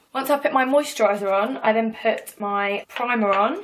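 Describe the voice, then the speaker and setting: Noticeable background noise surrounds a woman speaking. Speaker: singer and beauty vlogger. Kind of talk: tutorial. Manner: chatty, fast.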